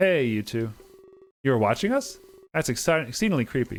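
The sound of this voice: The surroundings are quiet as someone reads in an unforced voice.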